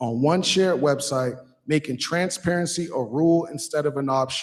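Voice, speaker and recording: A man with an unremarkable speaking voice talks at a moderate pace, his fairly high pitch showing ordinary variation. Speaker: resident activist. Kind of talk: public comment speech at city council meeting.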